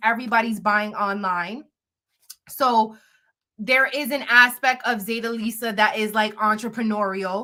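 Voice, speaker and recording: A woman speaks with a fairly high pitch and a bright, sharp tone. Her delivery is animated. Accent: New York. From New York. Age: 30s. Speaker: blogger and live streamer. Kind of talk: casual live stream chat.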